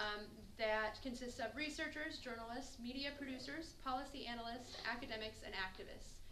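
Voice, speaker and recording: A woman's high voice at a fairly quick pace, with ordinary pitch variation, audible room echo and noticeable background noise. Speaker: student organizer. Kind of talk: event announcement. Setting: campus lecture with audience.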